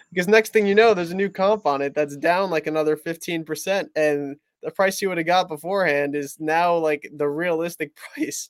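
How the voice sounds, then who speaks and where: With a New Jersey accent, a man speaks in a high pitch with hardly any pauses, the sound dry and close with no echo. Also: ordinary pitch variation, moderate pace. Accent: New Jersey American. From New Jersey, US. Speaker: sports card dealer. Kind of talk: casual chat.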